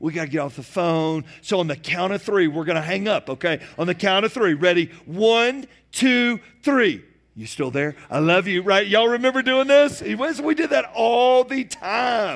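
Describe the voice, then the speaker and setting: A man's high voice with very wide pitch swings at a moderate pace, in a very clean recording with a silent background. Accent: Southern US. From US South, Georgia near Atlanta. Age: 40s. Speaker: pastor. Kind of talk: sermon. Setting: church.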